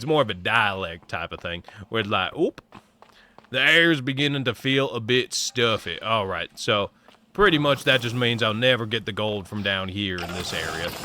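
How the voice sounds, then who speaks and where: Speaking with an American accent at a moderate pace, a man uses lively intonation and a bright, sharp tone. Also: medium pitch for a man. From US Midwest, Ohio. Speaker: gaming streamer. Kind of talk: casual live-stream chat.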